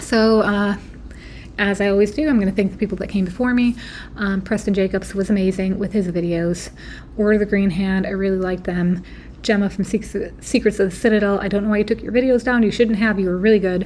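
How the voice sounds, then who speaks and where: A woman speaks at a fairly quick pace and medium pitch with fairly even intonation. Her voice is somewhat breathy. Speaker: YouTube theory video creator. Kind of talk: casual monologue. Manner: hesitant, many fillers.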